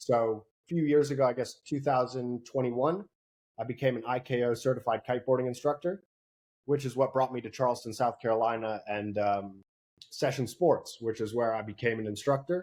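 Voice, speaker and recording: An unremarkable speaking voice from a man with an American accent, medium in pitch, at a fairly quick pace with ordinary pitch variation. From US Northeast and Netherlands. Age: 20s. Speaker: kiteboarding instructor and salesperson. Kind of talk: interview.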